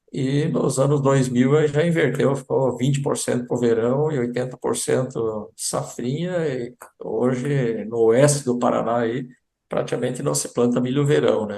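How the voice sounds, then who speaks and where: A man speaks at a medium pitch in a dark, mellow tone. His intonation is fairly even and his pace fairly slow. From southern Brazil, German-speaking community. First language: German (speaking Portuguese). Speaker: agricultural sales representative. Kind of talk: interview.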